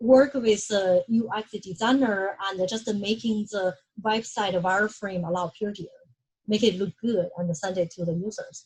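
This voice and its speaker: A woman talks at a medium pitch with ordinary pitch variation. She has a slight non-native accent. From China. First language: Chinese. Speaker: UX research manager. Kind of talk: lecture. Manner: halting.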